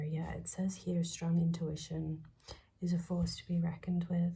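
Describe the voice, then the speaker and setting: The voice is soft-spoken. The pace is moderate. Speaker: tarot reader. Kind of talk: tarot reading. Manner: hesitant, many fillers.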